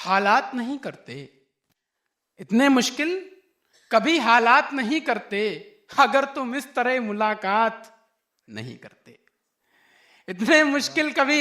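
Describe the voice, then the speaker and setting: At an extremely high pitch, a man uses a raised, projected voice with a bright, sharp tone. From Lucknow. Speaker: poet. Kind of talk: poetry reading. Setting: live stage, audience. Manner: powerful, fiery.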